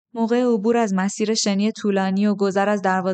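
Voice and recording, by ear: Fairly even intonation, reading aloud in a natural voice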